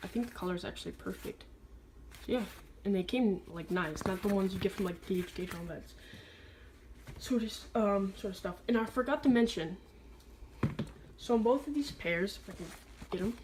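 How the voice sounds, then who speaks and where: Over noticeable background noise, a woman at a medium pitch speaks at a fairly quick pace with ordinary pitch variation and long, frequent pauses. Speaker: sneaker reviewer. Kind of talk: product review. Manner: stutters at times.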